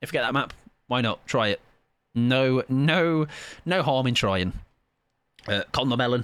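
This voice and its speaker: Here a man talks with an English Midlands accent at a moderate pace. The recording is very clean, and the background is silent. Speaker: video game streamer. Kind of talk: live gaming stream chat. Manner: animated.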